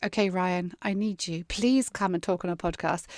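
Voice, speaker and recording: With a Southern English accent, this voice moves at a moderate pace in a dry, close sound with no echo. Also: woman. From southern England. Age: 50s. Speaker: podcast host and worship singer. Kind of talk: casual interview chat.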